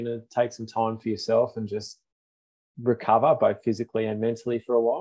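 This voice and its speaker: At a fairly quick pace, a man speaks in a medium pitch with a dark, mellow tone. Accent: Australian. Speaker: running podcast host. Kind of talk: casual chat.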